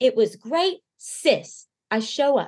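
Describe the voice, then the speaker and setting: In a Southern US accent, a woman speaks at a high pitch with very wide pitch swings. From Arkansas. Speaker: singer-songwriter and podcaster. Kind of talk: casual interview chat. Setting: video call.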